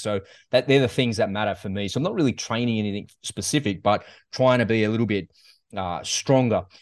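Here a man speaks with an Australian accent at a very fast pace. His voice is fairly low, with fairly even intonation. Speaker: podcast host, interviewer. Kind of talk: interview, casual chat.

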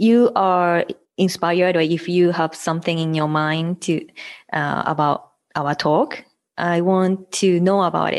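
A woman with a Japanese accent speaks at a fairly low pitch and a fairly slow pace. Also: quiet background. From Hiroshima, Japan. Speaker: podcaster and mother. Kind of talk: casual interview chat.

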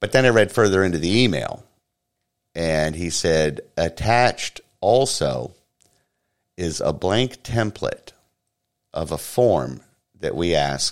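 A man's very deep, low voice with vocal fry and an American accent, very wide pitch swings, a very slow pace and long, frequent pauses. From Florida. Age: 40s. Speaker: podcast host. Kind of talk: casual chat. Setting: home studio.

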